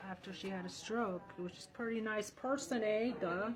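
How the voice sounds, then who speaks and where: Noticeable background noise sits behind a woman speaking at a moderate pace, her medium pitch held in a fairly even intonation. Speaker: political candidate and comedian. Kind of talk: reading aloud a legal document; casual vlog. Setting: law library. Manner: soft-spoken.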